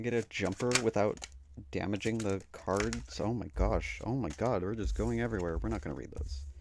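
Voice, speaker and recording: A man speaks at a fairly quick pace with a fairly low pitch and vocal fry. His pitch swings very widely. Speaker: tarot YouTuber. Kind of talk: casual chat.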